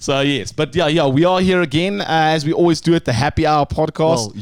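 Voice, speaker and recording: Speaking in a plain, everyday voice, a man keeps his loudness very even with ordinary pitch variation. He talks at a fairly quick pace and fairly high pitch. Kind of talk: radio DJ style, polished announcer delivery. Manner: upbeat, hosting.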